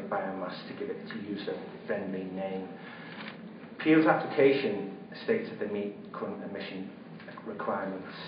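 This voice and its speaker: Spoken at a moderate pace with a slight Liverpool accent, the clip has noticeable background noise and audible room echo. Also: man. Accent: slight Merseyside (Scouse) twang. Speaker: local resident speaking at a public inquiry. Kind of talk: prepared public statement. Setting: public inquiry hearing in a function suite. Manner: hesitant, with fillers and repeated words.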